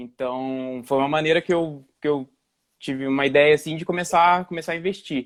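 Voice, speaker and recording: This man has a fairly high pitch and fairly even intonation. He speaks at a moderate pace. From Brazil, interior of São Paulo state. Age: 20s. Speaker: investment YouTuber. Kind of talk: casual livestream conversation. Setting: live stream video call. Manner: halting, many restarts.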